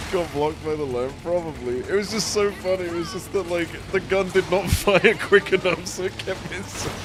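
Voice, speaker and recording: The speaker talks at a moderate pace with an animated tone and hardly any pauses. Music plays in the background. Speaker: gaming streamer. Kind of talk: live gameplay commentary.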